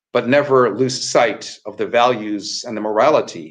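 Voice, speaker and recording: A man with a plain, everyday voice, medium in pitch, moderate in pace, with ordinary pitch variation. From Canada. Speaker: rabbi. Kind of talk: Torah teaching in a dialogue.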